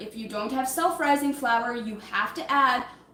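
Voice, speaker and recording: Audible room echo and noticeable background noise surround a woman's high-pitched voice, which has ordinary pitch variation. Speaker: livestreamer. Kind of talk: casual live-stream cooking chat. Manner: fast.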